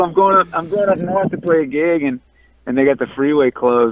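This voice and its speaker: Noticeable background noise sits behind a man with an American accent, his pitch high for a man and his intonation lively. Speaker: punk and country musician. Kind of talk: casual interview. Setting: in a car, driving in traffic. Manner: halting, repeats words.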